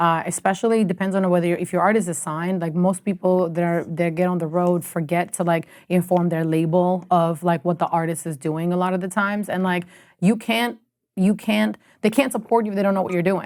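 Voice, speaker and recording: An animated woman with an Albanian accent, fairly low in pitch with ordinary pitch variation and a fairly quick pace, in a very clean recording with a silent background. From Albania, then Canada from age 13. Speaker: music industry executive. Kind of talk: podcast interview. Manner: casual, animated.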